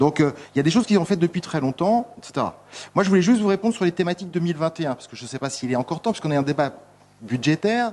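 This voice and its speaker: A high-pitched man talks very fast with lively intonation and big swings in loudness. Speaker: municipal councillor. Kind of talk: council debate. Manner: halting, many hesitations.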